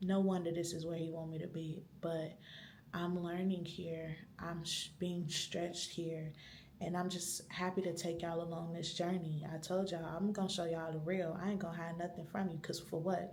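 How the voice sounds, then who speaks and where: A woman whispers at a moderate pace, with room echo audible. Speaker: vlogger. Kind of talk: vlog monologue. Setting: library. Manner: whispering.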